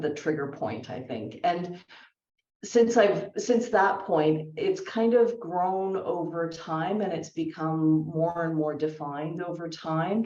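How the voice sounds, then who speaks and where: Speaking at a fairly slow pace, a woman with a Canadian accent has an unremarkable speaking voice. Her pitch is fairly low, with ordinary pitch variation. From Canada. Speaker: career speaker, former consultant. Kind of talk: fireside chat interview.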